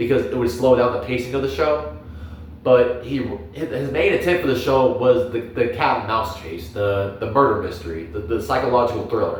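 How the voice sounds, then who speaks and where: Lively in intonation, a man of medium pitch talks at a moderate pace amid audible room echo. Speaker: youtuber, anime commentator. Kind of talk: casual monologue review. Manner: halting, many repetitions and filler words.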